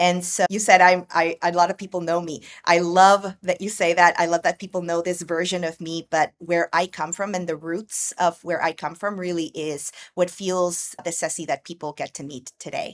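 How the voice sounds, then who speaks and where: A woman with an American accent speaks at a moderate pace in a flat monotone, barely pausing, her loudness swinging widely, in a dry, close recording with no echo. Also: fairly low pitch for a woman. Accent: American-sounding English. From Guatemala, Guatemala City. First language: Spanish. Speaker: educator and multilingual education consultant. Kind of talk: podcast interview.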